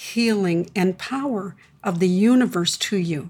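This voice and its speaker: A woman talks at a very slow pace. Her voice is somewhat breathy, with lively intonation. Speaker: spiritual teacher and radio host. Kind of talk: guided meditation; live radio show with caller lines. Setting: radio studio show with open call lines. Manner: calm, slow, soothing.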